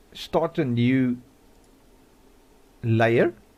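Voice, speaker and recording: A man speaks with an Afrikaans accent. His medium pitch shows ordinary variation. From South Africa. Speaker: modding tutorial youtuber. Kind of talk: tutorial. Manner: casual, hesitant with many fillers.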